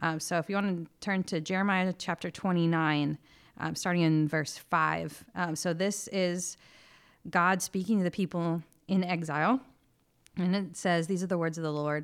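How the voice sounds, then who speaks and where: On a very clean recording with a silent background, a woman with an ordinary speaking voice and a fairly low pitch talks at a moderate pace, with fairly even intonation and very even loudness. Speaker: church minister. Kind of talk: religious discussion. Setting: home recording during quarantine.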